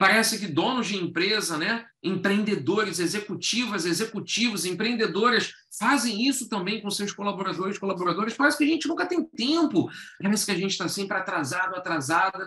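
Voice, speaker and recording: In a raised, projected voice with a Carioca accent, a man talks at a high pitch and a fairly quick pace with lively intonation. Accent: carioca Rio de Janeiro. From Rio de Janeiro, Brazil. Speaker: educator and workshop facilitator. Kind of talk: online workshop talk. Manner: conversational, engaging audience with questions.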